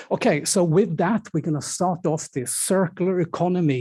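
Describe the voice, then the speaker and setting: Fairly slow and dark, mellow in tone, a man's voice carries a Swedish accent and ordinary pitch variation. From Sweden. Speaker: event moderator. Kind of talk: event moderation. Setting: stage with audience.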